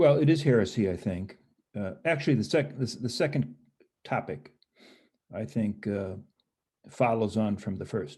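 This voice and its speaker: A man with an American accent and a medium-pitched, dark, mellow, somewhat breathy voice, at a moderate pace with very wide pitch swings and long, frequent pauses. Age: 70s. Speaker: historian and professor. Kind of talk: interview. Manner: halting.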